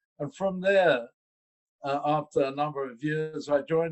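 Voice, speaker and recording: A man with a London accent, fairly high in pitch, at a fairly slow pace with fairly even intonation. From London, England. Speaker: investor relations executive. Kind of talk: interview.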